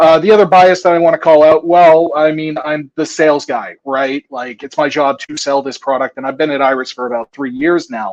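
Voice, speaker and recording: A man's fairly high, a plain, everyday voice, with ordinary pitch variation, a fairly quick pace and hardly any pauses, in dry, close sound with no echo. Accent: American. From United States. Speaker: drone tech sales presenter. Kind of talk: conference presentation. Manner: casual, filler-heavy.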